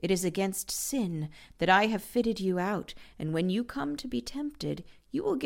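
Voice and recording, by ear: A natural voice reads aloud. Lively intonation marks the delivery.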